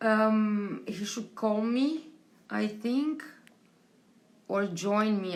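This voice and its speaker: A woman speaks at a medium pitch in a Romanian accent, with ordinary pitch variation. Room echo is audible. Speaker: tattoo convention team member hosting interviews. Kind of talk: live stream chat to viewers. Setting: home live stream during quarantine. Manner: halting, many fillers.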